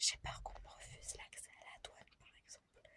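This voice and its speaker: A woman is whispering. Her pace is fairly slow. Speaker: vlogger. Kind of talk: casual vlog. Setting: at night, others asleep.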